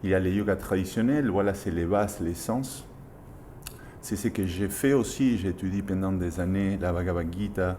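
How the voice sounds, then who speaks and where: A man with a strong Argentine accent speaks at a very deep, low pitch with a dark, mellow tone. His intonation is fairly even, and the room echo is audible. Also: moderate pace. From Argentina. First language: Spanish (speaking French). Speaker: yoga teacher. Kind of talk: interview.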